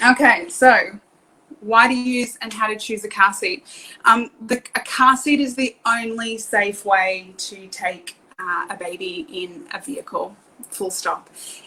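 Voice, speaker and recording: Big swings in loudness mark this woman's fairly slow speech. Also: fairly high pitch for a woman, ordinary pitch variation. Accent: Australian. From Australia. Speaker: car seat safety technician. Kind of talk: live stream presentation. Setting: online live video. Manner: hesitant with many fillers.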